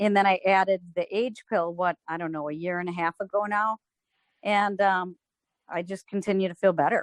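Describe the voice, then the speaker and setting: A woman speaks at a moderate pace in an ordinary speaking voice, medium in pitch. Her intonation is fairly even, and the sound is dry and close with no echo. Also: quiet background. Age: 60s. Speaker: customer giving product testimonial. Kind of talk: testimony.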